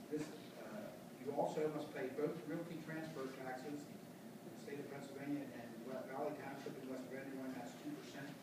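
Against loud background noise and audible room echo, a man talks at a moderate pace with hardly any pauses. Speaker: auctioneer. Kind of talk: interview answer explaining a property sale process. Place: meeting room. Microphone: camera far.

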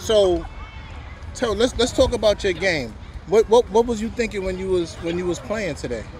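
A man talks in a high pitch with ordinary pitch variation. Crowd noise can be heard behind him. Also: moderate pace. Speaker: youth sports podcast co-host. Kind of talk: post-game interview. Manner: animated.

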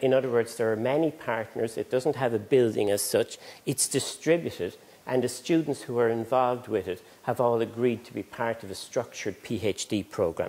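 A man keeps a moderate pace, and his pitch varies in an ordinary way. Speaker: conference presenter. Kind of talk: lecture. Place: hall. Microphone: lapel.

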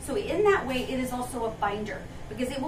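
A woman's high-pitched voice at a moderate pace, with noticeable background noise. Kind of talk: informational talk to camera. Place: shop. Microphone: camera far.

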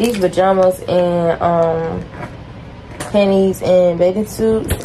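A woman's dark, mellow tone at a slow pace, fairly even intonation, faint background noise. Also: fairly low pitch for a woman.

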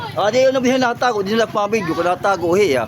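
Over noticeable background noise, a man with a high pitch speaks in an animated tone with lively intonation. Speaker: vlogger. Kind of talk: walking vlog. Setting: outdoors.

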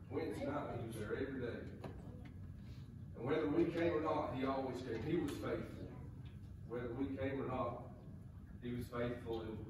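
A man at a moderate pace with long, frequent pauses, plus strong room echo and noticeable background noise. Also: ordinary pitch variation. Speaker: candidate. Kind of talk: testimony before a congregation. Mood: earnest, reflective. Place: church. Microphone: camera far.

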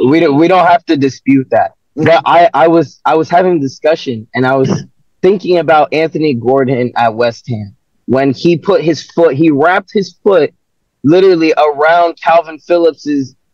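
The speech moves at a moderate pace, with a dry sound that has no echo and a quiet background. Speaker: football fan panelist. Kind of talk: post-match fan debate. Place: car. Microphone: video call.

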